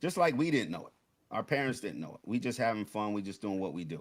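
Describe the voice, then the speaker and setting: A man is heard talking. His accent is American. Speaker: DJ and hip hop veteran. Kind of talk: panel discussion. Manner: halting.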